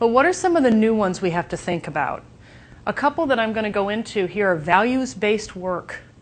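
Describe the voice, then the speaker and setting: A woman's pitch swings very widely as she speaks, with a quiet background behind her. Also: fairly high pitch for a woman, fairly quick pace. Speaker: conference speaker. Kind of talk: conference talk. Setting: stage with audience. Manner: fast; energetic.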